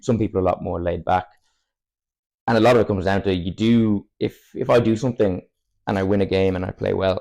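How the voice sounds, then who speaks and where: A man with a southern Irish accent speaks in a dark, mellow tone at a fairly low pitch. His delivery is very fast with fairly even intonation, broken by long, frequent pauses. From Ireland, Cork area. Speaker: football player. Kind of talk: casual chat.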